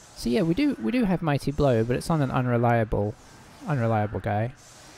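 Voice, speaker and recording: At a fairly quick pace, a man with a medium pitch and a dark, mellow tone speaks with ordinary pitch variation. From UK. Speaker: gaming streamer. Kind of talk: gameplay commentary. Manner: casual, hesitant with fillers.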